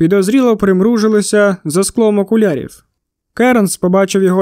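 Plain reading aloud is heard here, the intonation fairly even. Nothing much sounds behind it, as the background is quiet.

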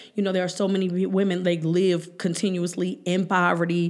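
A woman with an American accent, an unremarkable speaking voice at a medium pitch and a moderate pace. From Cleveland, Ohio (Hough, east side). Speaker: state legislator. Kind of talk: casual interview.

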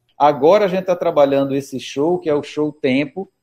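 With a dark, mellow tone and a fairly high pitch, a man speaks at a moderate pace with ordinary pitch variation, in a dry, close sound with no echo. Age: 50s. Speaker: musician. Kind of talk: interview.

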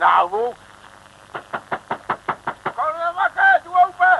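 A man puts on a character voice at an extremely high pitch, with big pitch swings, a slow pace and vocal fry.

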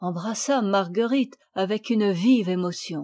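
There is a natural reading voice. Its pitch moves in an ordinary way.

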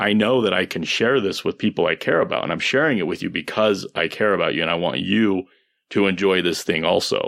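A plain, everyday voice comes from a man with a fairly low pitch. His pace is moderate, with ordinary pitch variation over a quiet background. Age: 30s. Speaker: podcast host. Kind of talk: casual interview conversation.

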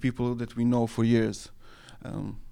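A man with a Serbo-Croatian accent talks at a moderate pace. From Serbia. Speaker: anarchist journal editor. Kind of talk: interview. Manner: halting, many fillers.

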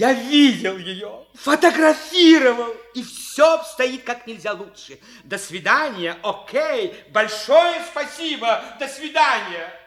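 In a put-on character voice with a fairly bright tone, the speaker goes at a slow pace with few pauses and lively intonation. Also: man, extremely high pitch for a man.

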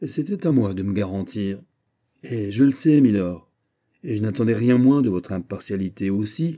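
The background stays quiet as someone reads in a natural voice.

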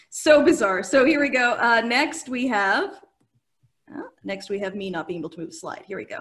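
A woman speaks at a moderate pace in a fairly high pitch, with very wide pitch swings and big swings in loudness. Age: 40s. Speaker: podcast host. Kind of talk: casual comedic chat. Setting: live stream.

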